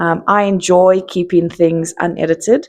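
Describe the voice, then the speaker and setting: Against a quiet background, a woman with a South African accent speaks at a fairly low pitch. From South Africa, Johannesburg. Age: 30s. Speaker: content creator. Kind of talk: casual monologue.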